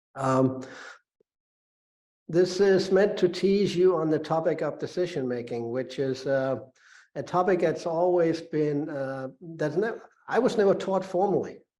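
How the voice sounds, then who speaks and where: Over audible room echo, a dark, mellow tone unfolds at a fairly slow pace with ordinary pitch variation. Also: man, high pitch for a man. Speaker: business school professor. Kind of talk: lecture. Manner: halting, many fillers.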